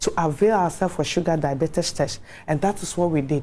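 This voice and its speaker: A woman's fairly low voice with a dark, mellow tone and a Ghanaian accent. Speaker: HIV awareness advocate. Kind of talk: TV interview testimony.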